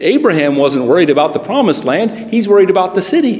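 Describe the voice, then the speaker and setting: A man in an American accent, lively intonation, noticeable background noise. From United States. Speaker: preacher. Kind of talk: sermon. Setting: church.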